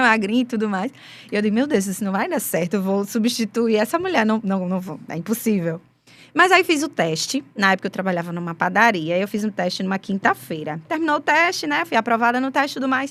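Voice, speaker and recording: Her intonation lively and her pitch fairly high, a woman talks at a fairly quick pace. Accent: Rio Grande do Norte. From Brazil, Rio Grande do Norte interior. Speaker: gospel singer, former forró band singer. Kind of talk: interview testimony.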